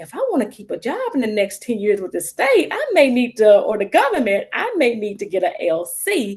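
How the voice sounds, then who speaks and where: With lively intonation, a woman talks at a moderate pace in a Mississippi accent. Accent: Mississippi Southern. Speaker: social worker. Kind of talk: panel discussion. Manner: casual, halting.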